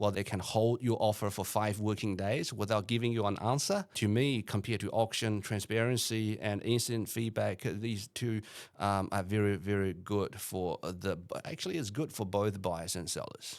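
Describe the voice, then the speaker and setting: A man talks at a moderate pace in a normal speaking voice, pitched fairly low. The intonation is fairly even, and the recording is very clean with a silent background. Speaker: real estate auctioneer. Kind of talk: podcast interview answer.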